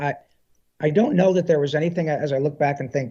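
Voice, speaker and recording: Here a man speaks at a fairly high pitch with ordinary pitch variation. His pace is fairly quick. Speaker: voice actor. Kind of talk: interview answer. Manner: warm, earnest, conversational.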